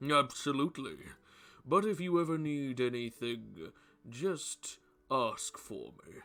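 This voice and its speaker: A man does a put-on character voice at a medium pitch and a fairly slow pace, with lively intonation. His loudness swings widely, and he leaves long, frequent pauses. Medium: actual play. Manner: hearty.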